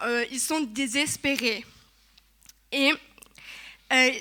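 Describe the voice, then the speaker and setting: Speaking in a raised, projected voice with a Togolese accent, a woman talks at a high pitch and a very slow pace. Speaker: church speaker giving testimony. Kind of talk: testimony sermon. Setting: church service. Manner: halting, with hesitations.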